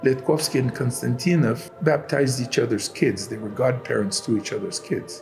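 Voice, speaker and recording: A man speaks at a moderate pace with hardly any pauses, his medium-pitched voice lively in intonation. Noticeable background noise runs underneath. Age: 70s. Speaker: church reader, iconographer and choir director. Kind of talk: interview, reminiscing.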